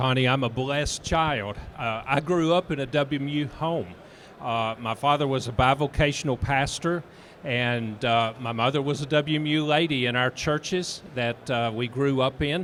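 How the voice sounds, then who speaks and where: Using an ordinary speaking voice, a man speaks with ordinary pitch variation. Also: fairly high pitch for a man, moderate pace. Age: 60s. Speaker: church network director. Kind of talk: panel discussion. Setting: convention stage.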